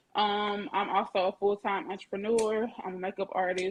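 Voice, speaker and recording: At a medium pitch, a woman speaks with a Southern Alabama accent. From US South, Lanett, Alabama. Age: 20s. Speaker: mental health advocate and makeup artist. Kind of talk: self-introduction on a podcast.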